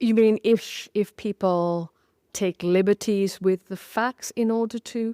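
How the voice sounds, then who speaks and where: A woman with a British accent speaks very slowly at a medium pitch, her dark, mellow tone and fairly even intonation captured dry and close with no echo on a very clean recording against a silent background. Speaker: historian of science and author. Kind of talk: interview conversation. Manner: halting, many fillers and repeats.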